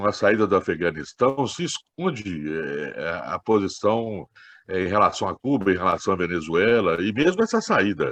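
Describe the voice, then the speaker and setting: A man's moderate-paced speech over a quiet background. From Minas Gerais, Brazil. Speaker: political activist. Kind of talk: meeting discussion contribution.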